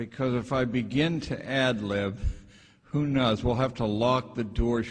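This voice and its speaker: Some room echo can be heard as a man with an American accent talks at a fairly slow pace with fairly even intonation. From western Pennsylvania, around Pittsburgh. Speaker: retired schoolteacher and education critic. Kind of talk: lecture read from a script. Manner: halting, with fillers and repeats.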